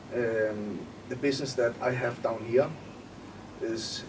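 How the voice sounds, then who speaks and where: Speaking at a medium pitch with a Danish accent, a man keeps his intonation fairly even. Audible room echo and noticeable background noise surround him. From Denmark. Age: 20s. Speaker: entrepreneur. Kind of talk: interview.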